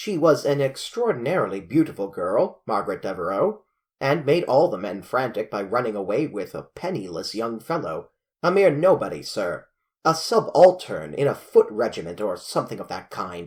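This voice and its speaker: A rumbling put-on character voice at a moderate pace, on a very clean recording with a silent background. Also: man, fairly high pitch for a man. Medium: read story. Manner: blustering, grumbling.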